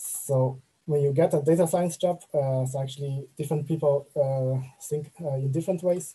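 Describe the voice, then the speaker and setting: Dark and mellow in tone, a man's somewhat breathy voice keeps fairly even intonation at a moderate pace with hardly any pauses. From China. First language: Chinese. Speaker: machine learning engineer; presenter. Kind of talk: online talk with slides. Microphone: webcam.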